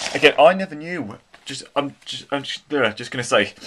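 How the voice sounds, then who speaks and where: Someone speaks in a croaky, put-on character voice at a moderate pace. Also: man, fairly high pitch for a man. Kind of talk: casual, explaining a model locomotive.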